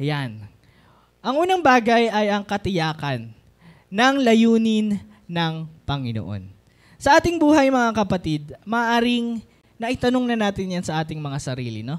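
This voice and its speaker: A man's high voice with very wide pitch swings at a fairly slow pace, in a very clean recording with a silent background. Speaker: preacher. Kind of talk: sermon. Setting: church.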